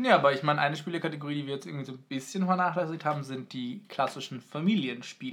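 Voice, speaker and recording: Rushing at a very fast pace, a man with a fairly high voice and ordinary pitch variation swings widely in loudness. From Munich, Germany. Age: 20s. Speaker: student, podcast co-host. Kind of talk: casual chat.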